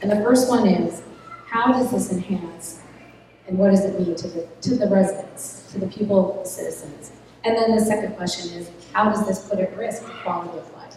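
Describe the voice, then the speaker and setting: A woman speaks at a moderate pace and medium pitch, with ordinary pitch variation and big swings in loudness. Noticeable background noise and audible room echo are present. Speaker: town council candidate. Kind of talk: campaign speech at candidate forum.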